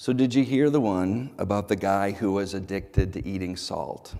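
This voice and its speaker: The voice has a dark, mellow tone and moves at a fairly slow pace, with audible room echo around it. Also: man. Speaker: pastor. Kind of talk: sermon. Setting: church.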